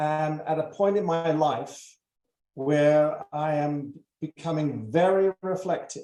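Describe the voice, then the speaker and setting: A man with a high voice talks at a very slow pace with ordinary pitch variation. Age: 70s. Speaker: retired prosecutor. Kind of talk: presentation. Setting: online webinar. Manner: hesitant, many fillers.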